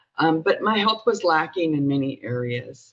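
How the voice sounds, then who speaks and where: Speaking fairly slowly, a woman delivers her words. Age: 60s. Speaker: network marketing distributor. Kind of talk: testimony.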